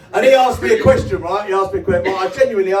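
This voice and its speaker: Noticeable background noise fills the recording. Through it, a man talks with lively intonation. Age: 50s. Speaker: comedian. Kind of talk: stand-up. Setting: stage with audience. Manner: energetic.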